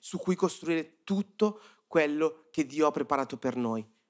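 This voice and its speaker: A man's fairly high-pitched voice at a moderate pace, an unremarkable speaking voice. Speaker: youth-group preacher. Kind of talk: sermon. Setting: church service with audience.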